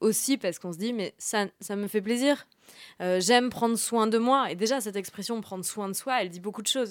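On a very clean recording with a silent background, a woman in a normal speaking voice talks at medium pitch and a moderate pace with ordinary pitch variation. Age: 30s. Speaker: journalist and author. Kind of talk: radio interview. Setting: studio.

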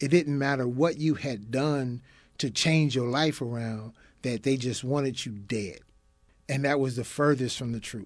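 Against a quiet background, the speaker has an unremarkable speaking voice and talks at a fairly slow pace with fairly even intonation. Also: man, medium pitch for a man. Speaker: former prisoner, restorative justice facilitator. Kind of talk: interview. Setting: studio.

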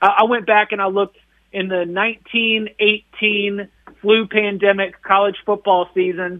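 Speaking at a very slow pace, a man uses a high pitch with monotone, flat intonation. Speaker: college sports reporter. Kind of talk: sports analysis interview by phone. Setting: phone call.

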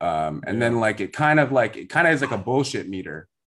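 Over a quiet background, a plain, everyday voice with an American accent speaks at a moderate pace. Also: man. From US West Coast. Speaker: podcast host and author.

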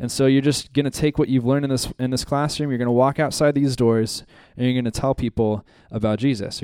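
Dry and close with no echo, a man's voice has a medium pitch and a dark, mellow tone. His intonation is fairly even and his pace very fast. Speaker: ministry school staff member. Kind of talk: announcements and prayer. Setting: church classroom.

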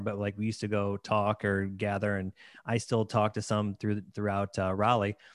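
Speaking at a very fast pace, a man with a fairly low pitch comes through a dry, close sound with no echo on a very clean recording with a silent background. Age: 40s. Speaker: podcast host and wedding DJ. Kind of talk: casual interview.

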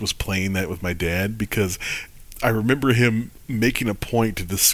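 With an American accent, a man speaks at a moderate pace and fairly low pitch, with ordinary pitch variation and an unremarkable speaking voice. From Michigan. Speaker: podcast host. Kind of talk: casual podcast chat.

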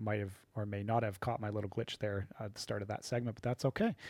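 This is a man with an Ontario accent. The recording is very clean with a silent background. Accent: Canadian (Ontario). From southwestern Ontario, Canada. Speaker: podcast host, recreation program lead. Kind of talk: casual unscripted podcast talk. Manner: off the cuff, with fillers and repetitions.

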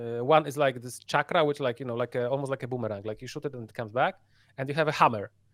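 Dry and close with no echo, a man speaks at a fairly high pitch with ordinary pitch variation. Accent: Polish. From Poland. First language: Polish. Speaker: VR gamer. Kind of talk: casual chat. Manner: halting.

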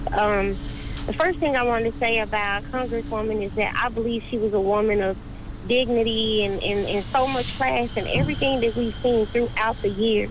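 Over noticeable background noise, a woman with an American accent speaks at a moderate pace and fairly high pitch, with ordinary pitch variation and very even loudness. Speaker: caller. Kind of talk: call-in comment. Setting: phone call.

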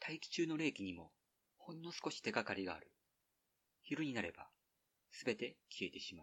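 Fairly high in pitch with very wide pitch swings, a man speaks with vocal fry, big swings in loudness and long, frequent pauses. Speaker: podcast host reading an essay aloud. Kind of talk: literary essay reading, slow and evocative, read aloud from a printed text. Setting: outdoors, recorded at a highland ridge.

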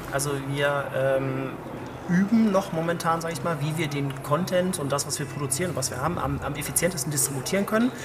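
Amid noticeable background noise and audible room echo, a man talks at a fairly quick pace, his pitch fairly high with ordinary variation. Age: 30s. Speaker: head of digital at a cookware manufacturer. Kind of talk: interview. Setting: outdoors at a trade conference.

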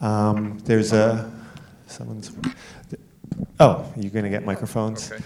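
A man speaks at a fairly low pitch and moderate pace with fairly even intonation, leaving long, frequent pauses. His loudness swings widely, and room echo is audible. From Canada. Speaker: festival moderator. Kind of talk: moderated Q&A. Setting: stage with audience.

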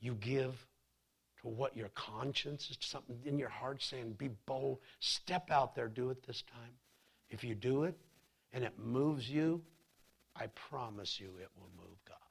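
A man speaks at a fairly slow pace and sounds somewhat breathy. He leaves long, frequent pauses. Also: medium pitch for a man, ordinary pitch variation, big swings in loudness. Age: 30s. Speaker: pastor. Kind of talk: sermon. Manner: animated.

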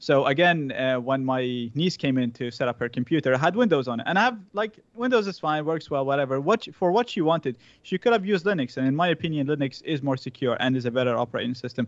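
Hardly pausing at all, a man talks at a very fast pace in a fairly high voice. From Iraq. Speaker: cybersecurity educator and company CEO. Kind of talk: interview conversation.

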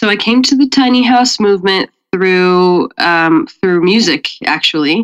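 In an American accent, a woman with an unremarkable speaking voice talks at a moderate pace with lively intonation, the sound dry and close with no echo. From Colorado. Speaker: event coordinator and musician. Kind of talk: casual interview chat.

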